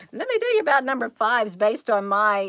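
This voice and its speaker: A woman's fairly high voice against a quiet background. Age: 50s. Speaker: livestream host. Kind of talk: casual live chat with viewers. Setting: livestream at home computer. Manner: rambling, hesitant with many fillers. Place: home room. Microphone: earbuds.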